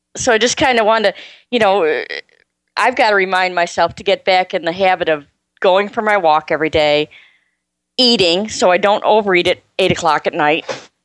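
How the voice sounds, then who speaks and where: A woman speaks at a medium pitch in an unremarkable speaking voice, with ordinary pitch variation. Her loudness stays very even, and the recording is very clean with a silent background. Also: moderate pace. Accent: American. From US. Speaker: caller.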